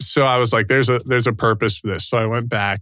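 A man speaks in an unremarkable speaking voice at a medium pitch with fairly even intonation. The recording is very clean, with a silent background. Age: 30s. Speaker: Special Forces veteran. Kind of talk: interview about personal story.

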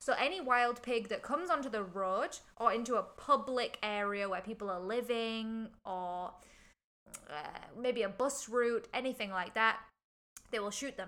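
This woman has an English accent and a bright, sharp tone. Her fairly high pitch varies in an ordinary way, at a moderate pace. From England. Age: young. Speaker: podcast co-host. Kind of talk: casual chat.

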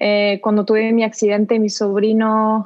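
A woman speaks with a French accent at a fairly slow pace. Her voice is fairly high in pitch. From southern France. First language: French (speaking Spanish). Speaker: actress. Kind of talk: interview.

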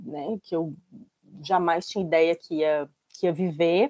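A woman's voice at a fairly slow pace, with ordinary pitch variation. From Fortaleza, Ceará, Northeast Brazil. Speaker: writer and journalist. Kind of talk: casual interview. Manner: hesitant, many fillers.

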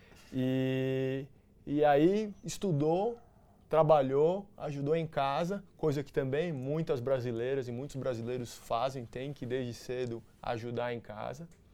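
At a fairly slow pace, a man speaks in a dark, mellow tone at medium pitch, his loudness swinging widely. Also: ordinary pitch variation. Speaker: interview podcast host. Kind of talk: interview.

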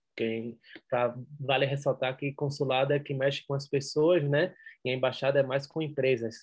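Intonation here is monotone and flat. A somewhat breathy voice keeps a moderate pace. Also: man, fairly high pitch for a man. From Brazil, Recife (Pernambuco). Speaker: entrepreneur. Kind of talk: interview.

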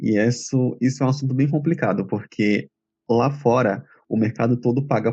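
Moderate-paced, somewhat breathy speech from a man, medium in pitch with ordinary pitch variation. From Bahia, Feira de Santana. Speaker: translator. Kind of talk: interview.

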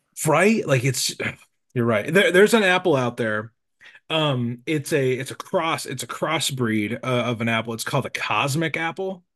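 With an American accent, this normal speaking voice moves at a moderate pace with lively intonation against a quiet background. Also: man, medium pitch for a man. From Nebraska. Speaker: podcast host. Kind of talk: casual chat.

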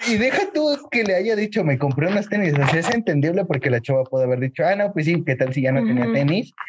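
The speaker rushes at a very fast pace with hardly any pauses, very wide pitch swings and very even loudness, against noticeable background noise. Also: man, fairly high pitch for a man. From Mexico City. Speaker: podcast co-host. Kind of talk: casual chat.

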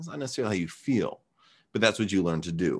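A man with a normal speaking voice and lively intonation speaks at a fairly low pitch, in a very clean recording with a silent background. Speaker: martial arts coach. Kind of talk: casual chat.

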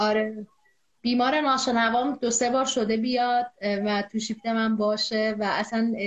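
This woman's pitch is fairly high, and she speaks at a moderate pace. Her loudness stays very even. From Iran, Zanjan. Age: 20s. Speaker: epidemiologist and deaf-community activist. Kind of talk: interview. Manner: energetic.

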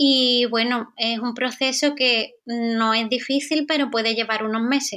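A woman with a high pitch and a bright, sharp tone speaks at a fairly slow pace with hardly any pauses and fairly even intonation, on a very clean recording with a silent background. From Andalusia, Spain. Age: 20s. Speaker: aesthetic nurse. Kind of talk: interview.

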